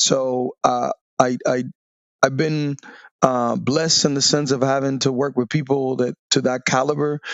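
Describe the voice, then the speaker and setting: A man speaks with a Dominican accent. His intonation is monotone and flat. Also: medium pitch for a man, fairly slow pace. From Dominican Republic. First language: Spanish. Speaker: navy veteran. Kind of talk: interview testimony. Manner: halting with many fillers.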